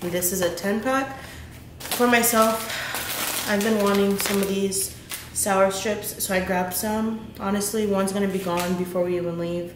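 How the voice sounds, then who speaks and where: A woman at a moderate pace with fairly even intonation, over light background noise and audible room echo. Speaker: mom vlogger. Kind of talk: casual vlog chat. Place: kitchen. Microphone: camera far.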